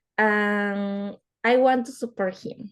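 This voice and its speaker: A woman with a Spanish accent speaks in a monotone, with flat intonation. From Peru. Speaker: student. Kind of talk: class introduction.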